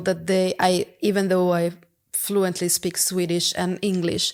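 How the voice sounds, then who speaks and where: A woman's medium-pitched voice at a very slow pace, with monotone, flat intonation. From Italy. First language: Italian. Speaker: product executive. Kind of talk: podcast interview. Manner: halting.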